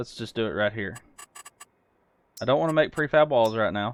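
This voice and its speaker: A man's voice sits at a medium pitch, with ordinary pitch variation and a moderate pace. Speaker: gaming video creator. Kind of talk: casual gameplay commentary.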